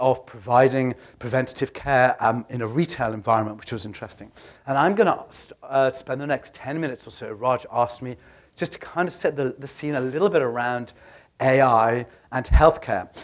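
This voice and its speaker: At a fairly quick pace, a man with a British accent and medium pitch shows ordinary pitch variation and big swings in loudness. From UK. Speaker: healthcare tech advisor. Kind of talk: conference presentation. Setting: stage with audience. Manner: hesitant with fillers.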